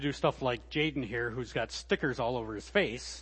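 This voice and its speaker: A man speaks with vocal fry. His pace is moderate. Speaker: guest preacher. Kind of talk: sermon.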